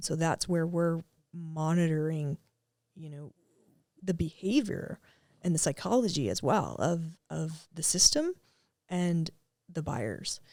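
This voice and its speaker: A woman with a fairly low pitch speaks with long, frequent pauses and big swings in loudness. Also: ordinary pitch variation. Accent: East Coast Canadian. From Atlantic Canada. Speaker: tech startup co-founder. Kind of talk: podcast interview. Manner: casual, with frequent fillers.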